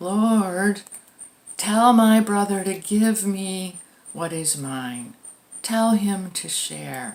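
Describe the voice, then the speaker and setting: A put-on, whiny character voice, female-sounding and medium in pitch, at a very slow pace with long, frequent pauses. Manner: whiny, complaining.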